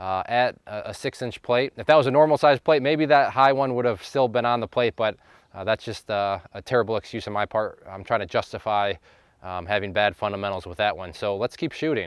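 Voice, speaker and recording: The recording is dry and close with no echo, and a man talks at a fairly quick pace. His pitch sits in the medium range with ordinary variation, while his loudness swings widely. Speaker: gun channel host. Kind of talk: casual range commentary. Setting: outdoor shooting range. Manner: loud, yelling with ear protection on; hesitant, many fillers.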